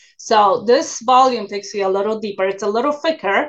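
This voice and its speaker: This is a woman speaking. She has a Polish accent. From Poland. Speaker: university professor and researcher. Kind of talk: interview.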